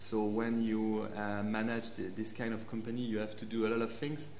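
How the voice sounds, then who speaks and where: Light background noise and audible room echo surround the speech. It is a man, talking at a moderate speed. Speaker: guest. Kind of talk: interview answer. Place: studio.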